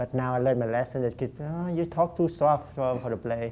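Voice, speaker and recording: A man's medium-pitched, dark, mellow voice with a Vietnamese accent and ordinary pitch variation. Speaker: actor. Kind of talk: interview.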